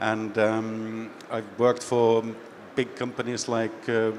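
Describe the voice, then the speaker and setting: Speaking at a medium pitch with a slight Finnish accent, a man talks in a monotone, flat intonation over noticeable background noise. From Finland. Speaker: business executive, panelist. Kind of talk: panel discussion.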